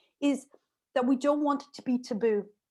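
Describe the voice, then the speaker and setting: On a very clean recording with a silent background, a woman with an Irish accent talks at a fairly quick pace. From Ireland. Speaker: remote work specialist and lecturer. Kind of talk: interview. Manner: fast.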